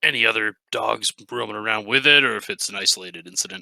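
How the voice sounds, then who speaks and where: A raspy, put-on character voice delivered at a very fast pace. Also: man, medium pitch for a man. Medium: actual play. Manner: hesitant, polite.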